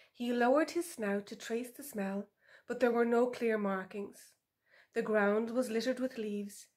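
Fairly even intonation in plain reading aloud, with a quiet background

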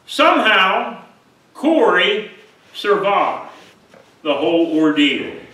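A man speaks in a raised, projected voice at a high pitch, with very wide pitch swings. Room echo can be heard. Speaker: pastor. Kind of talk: sermon. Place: church. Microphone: podium.

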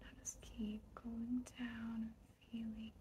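At a very slow pace, a woman speaks in a soothing, calm tone over light background noise. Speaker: ASMR creator / relaxation guide. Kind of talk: guided relaxation ASMR. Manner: soothing, calm, slow. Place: home room.

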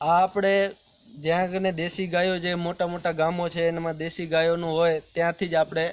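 Monotone and flat in intonation, a man talks at a high pitch. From India, Kutch, Gujarat. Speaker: organic farmer. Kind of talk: interview.

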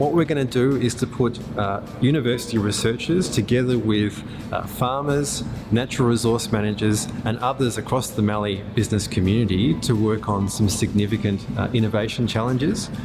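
The speech moves at a fairly quick pace over clear music in the background. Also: man, ordinary pitch variation. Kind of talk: interview answer. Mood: calm, positive. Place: workshop.

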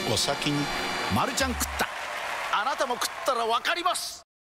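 Extremely high in pitch, a man speaks in an energetic tone with very wide pitch swings. Noticeable background noise can be heard. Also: moderate pace. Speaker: actor in a TV commercial. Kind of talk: TV commercial read. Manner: energetic, emphatic, expressive.

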